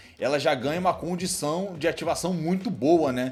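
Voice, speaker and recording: A fairly high-pitched male voice, animated in tone, with ordinary pitch variation and a fairly quick pace. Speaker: anime YouTuber. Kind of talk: casual Q&A commentary. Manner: fast.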